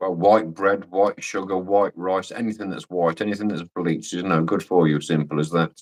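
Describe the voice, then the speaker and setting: With a Scottish accent, a man speaks in a very deep, low pitch at a moderate pace, with fairly even intonation and hardly any pauses. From Scotland. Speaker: livestream guest. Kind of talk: casual chat.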